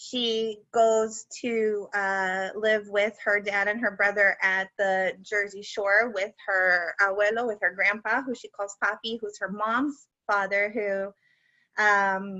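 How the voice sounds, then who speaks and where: A woman with a medium-pitched voice speaks very slowly in a flat, monotone delivery. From US, Cuban-American family. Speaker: debut children's author. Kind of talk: book launch talk and reading aloud.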